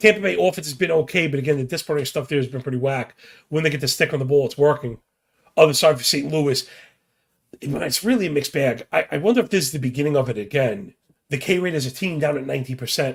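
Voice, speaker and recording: A somewhat breathy man speaks very fast. The rise and fall of his pitch is ordinary. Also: fairly high pitch for a man. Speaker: sports betting podcast host. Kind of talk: casual sports betting preview monologue. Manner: casual, fast-talking.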